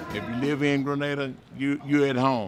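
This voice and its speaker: Over music in the background, a man speaks at a medium pitch and a moderate pace. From Mississippi, Yalobusha County. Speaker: blues musician. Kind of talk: interview.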